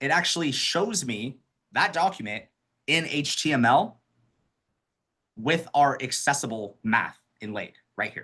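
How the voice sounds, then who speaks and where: A man's fairly high, bright, sharp voice with very wide pitch swings, a fairly slow pace and long, frequent pauses, set against a quiet background. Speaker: accessibility trainer. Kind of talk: webinar tutorial.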